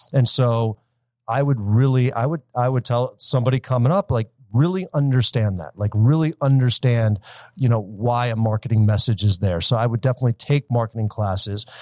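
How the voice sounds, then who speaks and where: Recorded very clean, dry and close with a silent background and no echo, a man with a US Midwestern accent speaks fairly quickly in a dark, mellow, medium-pitched voice with ordinary pitch variation. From Michigan, US (Detroit area). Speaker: marketing company founder. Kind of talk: interview.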